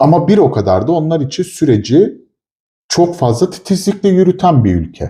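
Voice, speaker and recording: Lively in intonation, a man with a high pitch and a dark, mellow tone speaks at a moderate pace. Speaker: chemist / product developer, co-host. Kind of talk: casual chat.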